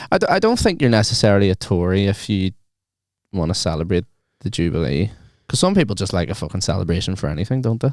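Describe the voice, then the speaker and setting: In a very clean recording with a silent background, a man with a fairly low pitch talks at a very fast pace with lively intonation. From Northern Ireland, rural. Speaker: podcast co-host. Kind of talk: casual chat. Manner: animated.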